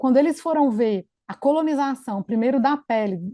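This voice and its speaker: This woman's voice is high-pitched, with a dark, mellow tone and lively intonation at a moderate pace. The sound is dry and close with no echo, against a quiet background. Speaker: infection control physician. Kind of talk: conference presentation.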